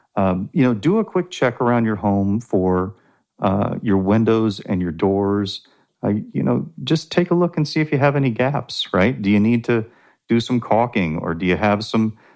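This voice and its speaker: Against a quiet background, a man with an unremarkable speaking voice talks at a moderate pace, his fairly low pitch carrying lively intonation. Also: very even loudness. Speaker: utility key account manager. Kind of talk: interview. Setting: studio. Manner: formal.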